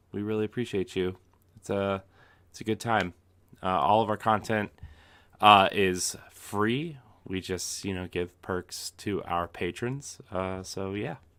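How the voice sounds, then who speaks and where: Against a silent background on a very clean recording, a quiet voice with a bright, sharp tone moves at a fairly slow pace, its intonation fairly even but its loudness swinging widely. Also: man, fairly low pitch for a man. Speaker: podcast co-host. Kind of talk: casual podcast chat. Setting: home, kids asleep. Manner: quiet, low voice.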